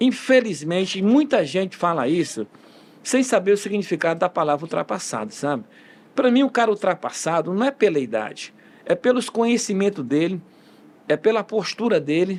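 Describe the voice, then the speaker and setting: Over a very clean recording with a silent background, a man speaks at a high pitch. His intonation is lively and his pace moderate. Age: 60s. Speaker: football coach. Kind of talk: interview. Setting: podcast studio. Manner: halting, many fillers and restarts.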